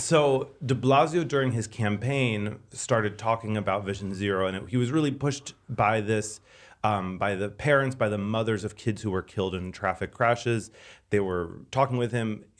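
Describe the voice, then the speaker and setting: A man with a normal speaking voice talks at a moderate pace and medium pitch, with ordinary pitch variation, on a very clean recording with a silent background. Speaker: transportation expert. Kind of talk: casual chat.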